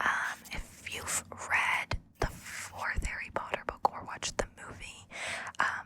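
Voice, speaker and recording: Against noticeable background noise, a woman whispers very slowly. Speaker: voice actor. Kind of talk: ASMR book reading with chat. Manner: whispered.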